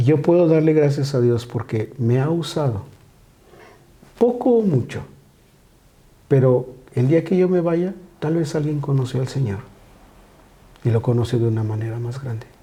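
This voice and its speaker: The speech moves at a moderate pace with ordinary pitch variation. Long pauses come frequently. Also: man, fairly high pitch for a man. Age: 60s. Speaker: pastor. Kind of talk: casual chat.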